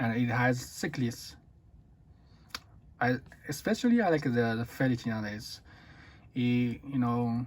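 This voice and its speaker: A man talks with a Chinese accent at a medium pitch. His pace is fairly slow and his intonation fairly even. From China. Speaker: watch reviewer. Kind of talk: product review. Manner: halting.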